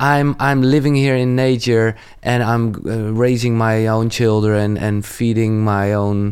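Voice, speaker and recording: Over a silent background in a very clean recording, a man with a Dutch accent speaks at a fairly slow pace with hardly any pauses, monotone, flat intonation, and very even loudness. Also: medium pitch for a man. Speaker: podcast host. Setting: in person.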